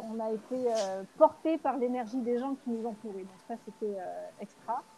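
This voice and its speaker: A woman speaks at a high pitch with ordinary pitch variation. Her tone is dark and mellow. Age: 40s. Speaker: mother living aboard a sailboat. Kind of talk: casual interview conversation. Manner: halting, many fillers and repetitions.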